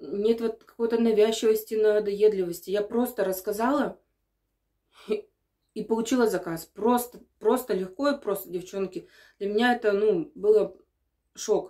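With a dark, mellow tone and ordinary pitch variation, a woman speaks at a moderate pace with long, frequent pauses over a quiet background. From Sverdlovsk Oblast, Russia. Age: 30s. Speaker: perfume sales partner. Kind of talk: casual talk to camera. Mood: calm, mildly enthusiastic. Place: bathroom. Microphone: phone near.

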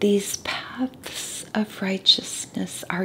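A soft-spoken woman talks in a calm tone with monotone, flat intonation over light background noise. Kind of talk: soft-spoken Bible study reading and teaching. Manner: soft-spoken, calm, relaxing. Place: home room. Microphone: studio mic.

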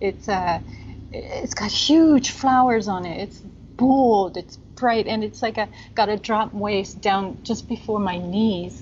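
Speaking at a slow pace with few pauses, a woman has a medium pitch and a slightly mellow tone. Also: ordinary pitch variation.

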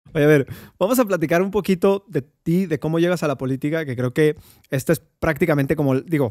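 A man with a Mexican accent is recorded against a quiet background, with a dry sound and no echo. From Mexico. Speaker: podcast host. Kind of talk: interview. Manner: halting. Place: studio. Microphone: studio mic.

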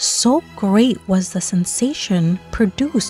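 Music plays in the background as a woman speaks. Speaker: storybook reader. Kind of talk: children's bedtime story read-aloud.

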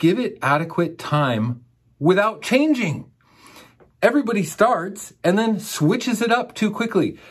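In a quiet background, a man with a high pitch speaks with lively intonation and an enthusiastic tone. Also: fairly slow pace. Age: 40s. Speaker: raw vegan coach and channel host; raw vegan coach, channel host. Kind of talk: monologue to camera. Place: studio.

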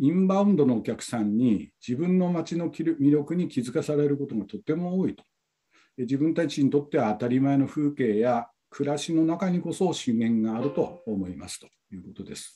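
Against a quiet background, a man with a dark, mellow tone uses lively intonation and big swings in loudness. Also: fairly high pitch for a man, moderate pace. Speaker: tourism company staff, session coordinator; breakout session reporter. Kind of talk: conference session report. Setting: video call. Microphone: video call.

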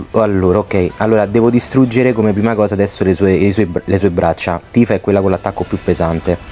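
At a very fast pace with hardly any pauses, a man speaks at a fairly low pitch with fairly even intonation and very even loudness. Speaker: gaming youtuber. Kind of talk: gameplay commentary tutorial. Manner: stammering.

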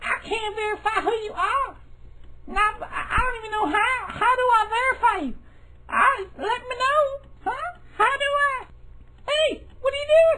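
A squeaky, put-on character voice moves at a moderate pace with lively intonation and long, frequent pauses over clear background noise. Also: woman, extremely high pitch for a woman. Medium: comedy sketch. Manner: stubborn, bossy.

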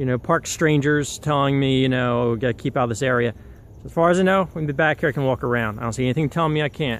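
A very fast pace with ordinary pitch variation, a dry sound with no echo, and light background noise. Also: man. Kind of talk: casual vlog commentary. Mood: wistful, slightly defiant. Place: forest. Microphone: phone near.

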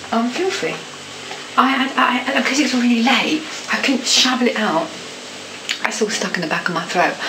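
At a moderate pace, a woman speaks at a high pitch over noticeable background noise. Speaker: home vlogger. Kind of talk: casual vlog chat. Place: home room. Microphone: webcam.

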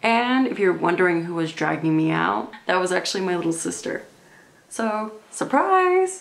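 With lively intonation, a woman talks at a medium pitch and a fairly slow pace. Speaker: comedy vlogger. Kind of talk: casual talk to camera. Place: home room. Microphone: camera far.

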